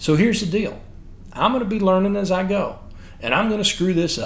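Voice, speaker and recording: A man speaks at a high pitch with a Texan accent. Audible room echo surrounds his voice. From Texas. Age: 50s. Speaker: military history podcaster. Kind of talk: scripted narration.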